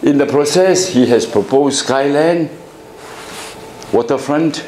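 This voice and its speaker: A man speaks at a fairly slow pace in a fairly high pitch with ordinary pitch variation. There is audible room echo and noticeable background noise. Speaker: architect. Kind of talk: lecture. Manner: halting.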